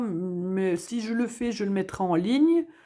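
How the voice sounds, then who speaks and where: A woman speaks very slowly at a medium pitch. Her intonation is lively. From Belgium, Hainaut province. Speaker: budgeting vlogger. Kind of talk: casual vlog chat. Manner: hesitant, many fillers.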